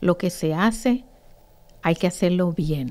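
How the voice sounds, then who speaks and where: This woman's tone is dark and mellow. She speaks at a fairly slow pace with ordinary pitch variation. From Puerto Rico, Ponce; Puerto Rico. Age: 50s. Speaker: teacher and association founder; teacher. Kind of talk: interview. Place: studio. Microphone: studio mic.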